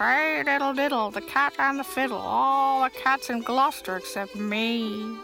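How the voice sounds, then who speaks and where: A female-sounding put-on character voice at a moderate pace, with clear music in the background. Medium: read story. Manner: complaining.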